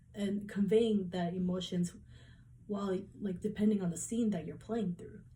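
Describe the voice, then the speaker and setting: This woman's voice has a dark, mellow tone, medium pitch and a somewhat breathy quality. She keeps a moderate pace and fairly even intonation, with big swings in loudness. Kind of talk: class presentation speech. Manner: hesitant, with repeated words.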